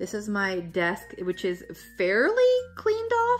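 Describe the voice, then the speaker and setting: A woman talks over noticeable background noise. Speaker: lifestyle vlogger. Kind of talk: casual room tour vlog. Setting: at home, in her craft room.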